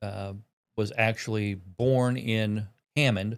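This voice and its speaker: In a Midwestern American accent, a man speaks at medium pitch with ordinary pitch variation. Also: very clean recording, silent background. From Indiana, Newton County. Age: 60s. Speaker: county coroner. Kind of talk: interview. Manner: halting.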